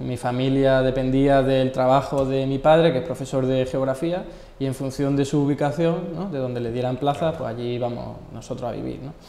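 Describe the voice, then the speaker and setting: Over noticeable background noise, a man with an Andalusian accent talks at a moderate pace with hardly any pauses. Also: medium pitch for a man, fairly even intonation. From Andalusia, Spain (Marchena, Seville; Málaga). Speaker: economist. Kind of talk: interview. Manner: hesitant fillers.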